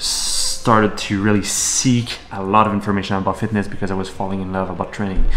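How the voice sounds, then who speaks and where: Over noticeable background noise and audible room echo, a man talks at a fairly quick pace with a fairly low pitch and monotone, flat intonation. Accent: Quebec. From Quebec, Canada (Montreal). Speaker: entrepreneur, fitness model, vlogger. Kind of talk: vlog monologue.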